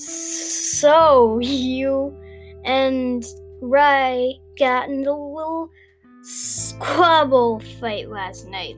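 At a very slow pace, someone performs a put-on character voice while faint music plays in the background.

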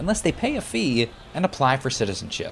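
The voice moves at a moderate pace with very wide pitch swings against noticeable background noise. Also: man. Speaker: TV news correspondent. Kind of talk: scripted news narration.

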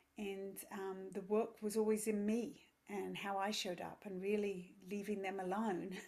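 A woman's medium-pitched, monotone, flat voice at a moderate pace, with audible room echo. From England. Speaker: yoga teacher and parenting coach. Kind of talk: casual interview.

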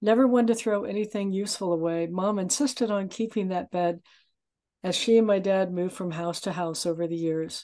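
A woman with a normal speaking voice, medium pitch, ordinary pitch variation, a moderate pace, and an American accent. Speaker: memoir author. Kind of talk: reading aloud and interview.

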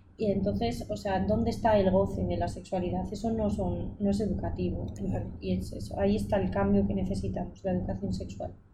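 A woman talks at a fairly quick pace. Audible room echo and noticeable background noise surround her voice. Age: 20s. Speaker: illustrator and designer. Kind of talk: casual interview.

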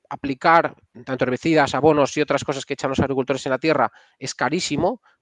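With a quiet background and a dry, close sound with no echo, a man has an unremarkable speaking voice, fairly high in pitch, with fairly even intonation. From Spain, Castile and León. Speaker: software engineer and startup founder. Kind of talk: casual interview.

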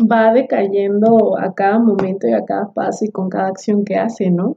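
A somewhat breathy voice moves at a fairly slow pace with ordinary pitch variation. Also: woman. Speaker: podcast co-host. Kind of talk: casual book discussion.

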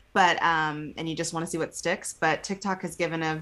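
A woman speaks at a fairly low pitch with a slight Texas accent. Her tone is bright and sharp. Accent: slight Texas twang. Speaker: podcast co-host.

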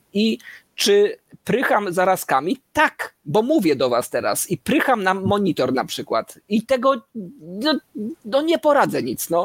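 A man with a high pitch talks at a fairly slow pace with very wide pitch swings, in a dry, close sound with no echo. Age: 40s. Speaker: podcast co-host. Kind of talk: casual chat.

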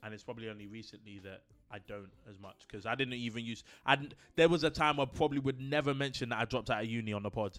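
A man's medium-pitched voice with a London accent, very fast pace, ordinary pitch variation and big swings in loudness, on a very clean recording with a silent background. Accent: London multicultural English. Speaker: podcast co-host. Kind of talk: casual chat. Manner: animated.

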